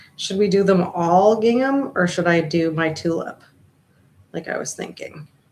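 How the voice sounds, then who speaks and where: At a moderate pace and fairly low pitch, a woman talks with ordinary pitch variation in an ordinary speaking voice. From eastern Canada. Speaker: craft livestreamer. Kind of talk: casual livestream chat while crafting. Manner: chatty, thinking aloud.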